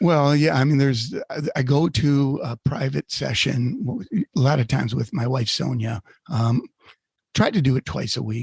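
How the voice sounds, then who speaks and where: Speaking at a moderate pace, a man has a medium pitch and a somewhat breathy voice with ordinary pitch variation. The sound is dry and close, with no echo. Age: 60s. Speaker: podcast co-host. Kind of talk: casual chat. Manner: hesitant, many fillers.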